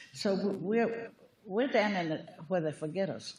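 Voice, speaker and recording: With a Virginia accent, a woman speaks at a fairly slow pace using lively intonation. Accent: rural Virginia Southern. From US South. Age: 80s+. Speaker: public commenter, retired farmer. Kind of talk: public comment at county meeting.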